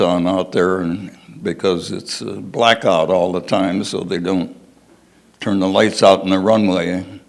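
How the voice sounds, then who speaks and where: His voice carries an American accent. This man's pitch sits very deep and low. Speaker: war veteran. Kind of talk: personal storytelling to an audience.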